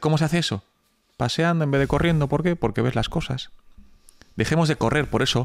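A very clean recording of a man, the background silent. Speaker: entrepreneur. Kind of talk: casual interview.

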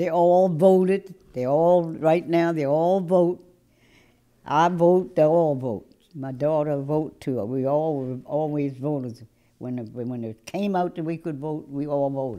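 A woman's very deep, low voice, dark and mellow in tone, with ordinary pitch variation and a fairly slow pace against a quiet background. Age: 80s+. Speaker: voting rights plaintiff. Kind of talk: interview answer. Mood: indignant but warm. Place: office. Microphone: lapel.

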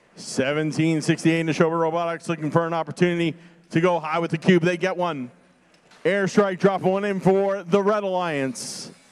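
The tone is animated. The pace is moderate. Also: man, high pitch for a man. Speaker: robotics competition announcer. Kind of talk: live commentary. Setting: event venue, competition floor with PA system. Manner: animated, rising excitement at key moments. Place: hall.

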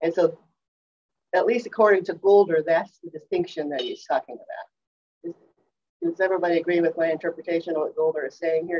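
Over light background noise, a normal speaking voice moves at a fairly quick pace. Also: woman. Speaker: class teacher sharing slides. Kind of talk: class discussion lecture. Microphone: video call.

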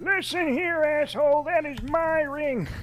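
A put-on character voice pitched high, speaking at a fairly slow pace. Clear background noise runs under it. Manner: stern, scolding.

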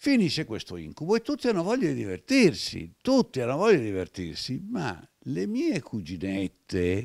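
Against a quiet background, a man's voice rises and falls in very wide pitch swings. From Italy. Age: 70s. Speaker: retired film archive director; interview guest. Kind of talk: interview storytelling. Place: home room. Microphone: handheld.

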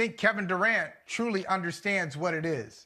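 Against a quiet background, a man uses a raised, projected voice with a bright, sharp tone, ordinary pitch variation and a moderate pace. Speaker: sports talk show co-host. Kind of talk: commentary. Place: home room. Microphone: lapel.

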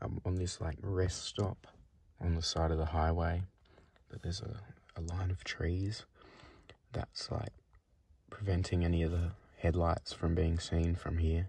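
A man speaks at a fairly slow pace in a very deep, low pitch, with monotone, flat intonation and long, frequent pauses. His dark, mellow tone is somewhat breathy, and the sound is dry with no echo. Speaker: solo road-trip vlogger. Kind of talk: casual vlog chat. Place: car. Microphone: phone near.

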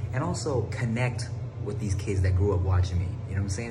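Music plays in the background while a man's fairly quick speech continues. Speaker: vlogger, guest. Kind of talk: casual vlog chat. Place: empty room. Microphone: phone near.

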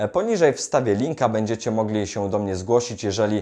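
A man talks fairly quickly at a fairly low pitch. His tone is dark and mellow, and the background is quiet. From Poland, Greater Poland (Wolsztyn). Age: 20s. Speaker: self-development YouTuber and salesman. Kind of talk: direct-to-camera vlog monologue.

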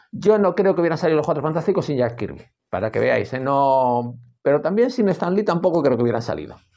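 Very fast speech from a man, fairly high in pitch and dark and mellow in tone, with very wide pitch swings over a quiet background. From Spain. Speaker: comics youtuber; comics reviewer. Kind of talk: casual monologue. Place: home room. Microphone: earbuds.

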